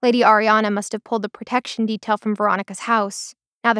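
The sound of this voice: The background stays quiet while the speaker reads in an unforced voice.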